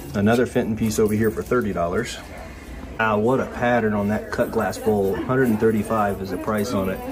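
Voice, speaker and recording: An American accent at a moderate pace with ordinary pitch variation, amid noticeable background noise. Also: man. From Ohio. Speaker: antiques auction vlogger. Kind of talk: casual vlog narration. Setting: on location, indoors and around a crowded antique mall. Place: shop. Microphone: phone near.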